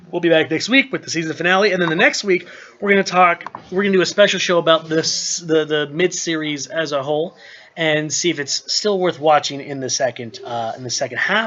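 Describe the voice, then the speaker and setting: Over noticeable background noise, a man talks fairly quickly in a high pitch that varies in an ordinary way. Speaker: podcast co-host. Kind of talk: live after show discussion. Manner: fast.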